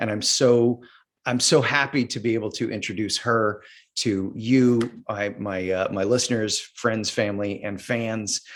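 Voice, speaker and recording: A man with an unremarkable speaking voice talks at a fairly slow pace and a medium pitch, in a very clean recording with a silent background. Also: fairly even intonation. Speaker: acting coach. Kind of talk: podcast host interview.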